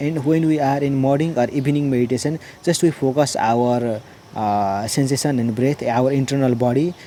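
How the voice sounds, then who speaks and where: There is noticeable background noise as a man with a Nepali accent talks at a moderate pace, his fairly high voice keeping fairly even intonation. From Nepal, Jhapa District. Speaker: meditation practitioner. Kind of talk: personal testimony. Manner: halting, many fillers.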